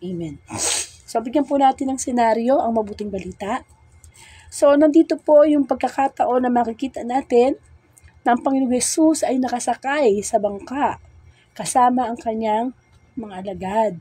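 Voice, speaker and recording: Speaking with a high pitch and ordinary pitch variation, a woman has a dark, mellow tone. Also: moderate pace. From Philippines, Bulacan. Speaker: religious sister, gospel preacher. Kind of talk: scripture reading and reflection. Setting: Facebook Live stream.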